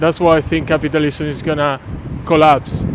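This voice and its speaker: A Venezuelan accent over noticeable background noise. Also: man. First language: Spanish. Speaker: passer-by interviewee. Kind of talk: street interview. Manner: hesitant, many filler sounds.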